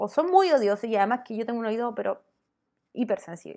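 At a very fast pace, a woman talks in a fairly high pitch with ordinary pitch variation. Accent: Chilean. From Chile. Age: 30s. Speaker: YouTuber. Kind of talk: casual vlog monologue.

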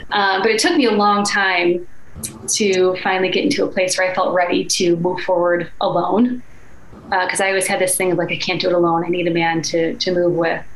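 In an American accent, a woman of medium pitch speaks with fairly even intonation and very even loudness. Noticeable background noise is present. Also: fairly quick pace. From Chicago, US Midwest. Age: 30s. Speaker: life and energy coach. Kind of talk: casual interview chat.

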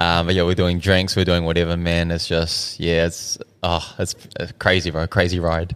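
Very deep and low, a man's voice holds a monotone, flat intonation. His pace is moderate. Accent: New Zealand. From New Zealand, South Auckland. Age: 30s. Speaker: restaurant owner. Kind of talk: casual chat. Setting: in his restaurant.

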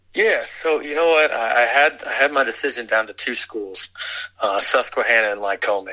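A man with an American accent and a plain, everyday voice speaks at medium pitch with lively intonation. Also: moderate pace. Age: 20s. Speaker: financial planner. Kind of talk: casual chat.

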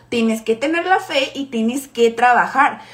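A woman with a Mexican accent speaks at a high pitch. Her pace is very slow, and there is noticeable background noise. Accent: Mexican Spanish (Jalisco). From Mexico, Guadalajara. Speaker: network marketing team leader. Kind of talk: motivational live stream talk. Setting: live stream.

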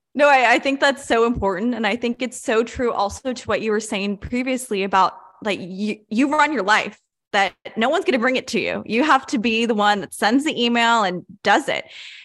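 Her pitch fairly high and its variation ordinary, a woman talks in a plain, everyday voice. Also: fairly quick pace. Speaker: student podcast host. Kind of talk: interview.

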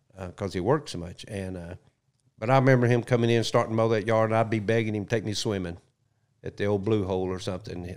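An American-accented man at a fairly low pitch and fairly quick pace, fairly even intonation, on a very clean recording with a silent background. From US South. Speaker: retired wildlife agency spokesman. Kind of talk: casual chat. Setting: studio.

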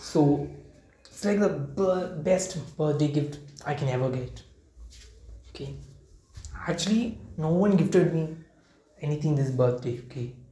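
In a room with audible echo, a man with a fairly high pitch and a dark, mellow tone speaks at a fairly slow pace, with ordinary pitch variation and long, frequent pauses. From India, Kerala. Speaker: podcaster. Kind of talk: casual monologue. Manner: halting, many fillers.

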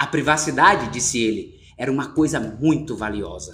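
With music in the background, a man speaks in a warm tone with a Brazilian accent. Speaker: podcast host and audiobook reader. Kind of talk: literary audiobook reading, steady narration with intro and outro. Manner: measured, narrative, warm and conversational in intro and outro.

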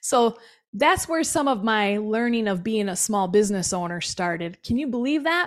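In a very clean recording with a silent background, a woman with an American accent talks at a moderate pace in a fairly high pitch, an ordinary speaking voice. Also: lively intonation. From Milwaukee, Wisconsin (South Side). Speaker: business owner. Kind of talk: interview testimony.

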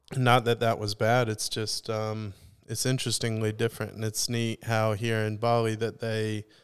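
In a very clean recording with a silent background, a man talks at a moderate pace. His medium-pitched voice stays monotone and flat. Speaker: podcast host. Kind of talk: casual chat.

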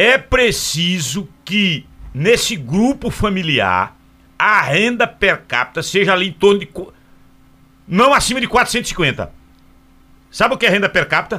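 The voice is raised and projected, with a bright, sharp tone and lively intonation. The pace is fairly slow, broken by long, frequent pauses. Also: man, high pitch for a man. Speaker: radio host. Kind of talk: live radio talk show. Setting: radio studio.

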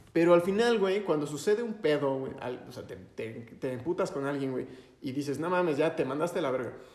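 A man in a normal speaking voice, fairly high-pitched, at a fairly quick pace, with lively intonation and big swings in loudness. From Mexico. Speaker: youtuber. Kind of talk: casual chat.

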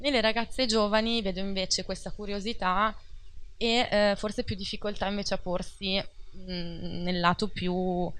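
In a plain, everyday voice, a woman speaks at medium pitch with fairly even intonation. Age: 30s. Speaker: life coach. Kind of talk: casual interview.

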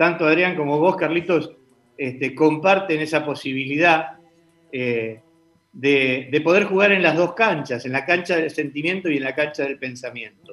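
A man's fairly high-pitched voice with a bright, sharp tone at a fairly slow pace, with ordinary pitch variation. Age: 60s. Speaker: political commentator. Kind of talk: casual political debate.

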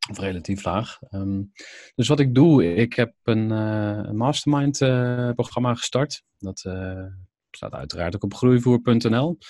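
A man's dark, mellow voice at medium pitch, very slow, with ordinary pitch variation, big swings in loudness, and a quiet background. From Netherlands, Overijssel (Kampen/Zwolle). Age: 30s. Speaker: entrepreneur. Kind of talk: casual interview.

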